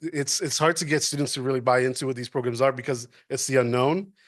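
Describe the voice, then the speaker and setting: A man with an American accent talks against a quiet background. His pitch is fairly high, with ordinary variation. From New York City, Washington Heights. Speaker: university administrator. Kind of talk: public talk.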